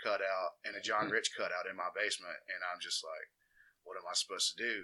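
A man with an Alabama accent talks at a fairly quick pace. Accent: US Southern (Alabama). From Alabama, Walker County (Jasper). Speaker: DJ. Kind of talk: casual interview chat.

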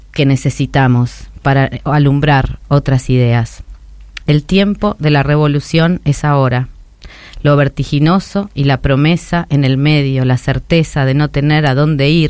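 A woman with a Rioplatense accent speaks fairly slowly in a very deep, low pitch. Her loudness is very even, with ordinary pitch variation. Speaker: radio host. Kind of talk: scripted editorial.

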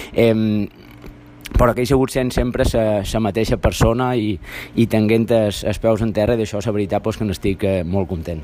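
Noticeable background noise is heard. The talking goes at a moderate speed, with ordinary pitch variation. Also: man, fairly low pitch for a man. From Ibiza, Sant Antoni. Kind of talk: voice message testimony. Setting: recorded voice message.

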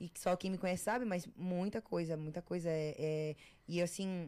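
A woman speaks at a moderate pace in an unremarkable speaking voice. Her pitch is fairly low and her intonation fairly even. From Florianópolis, southern Brazil. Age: 20s. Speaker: TV personality and content creator. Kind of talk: casual interview chat.

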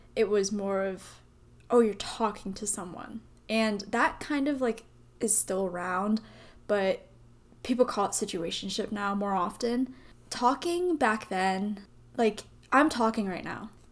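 A woman's fairly high voice with an American accent, at a fairly slow pace, with ordinary pitch variation and long, frequent pauses. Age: 20s. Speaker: solo podcast host. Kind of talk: casual monologue.

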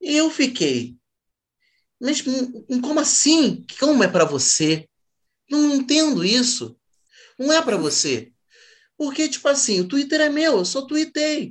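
A man's extremely high-pitched voice, very slow, with long, frequent pauses and very even loudness. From Rio de Janeiro, Zona Norte. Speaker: comedian. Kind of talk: casual chat.

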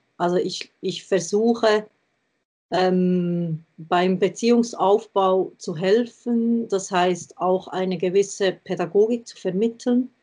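A woman at a medium pitch with a dark, mellow tone, very slow and fairly even in intonation, with big swings in loudness over a quiet background. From Switzerland, between Thun and Bern. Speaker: riding instructor. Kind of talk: interview conversation.

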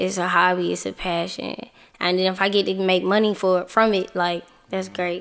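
A woman at a medium pitch, moderate pace and monotone, flat intonation. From Atlanta, Georgia. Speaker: rapper. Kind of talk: casual interview.

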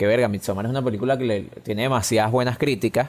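This man has a plain, everyday voice pitched in the medium range. He talks at a fairly quick pace with ordinary pitch variation. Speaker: film podcast co-host. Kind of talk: casual chat. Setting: recording from home during quarantine.

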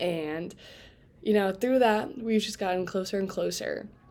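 A woman speaks with a Midwestern American accent, her pitch rising and falling in an ordinary way. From Indiana, Fort Wayne. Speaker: college student podcast host. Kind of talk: casual solo podcast talk. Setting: home bedroom. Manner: casual, filler-heavy with laughs.

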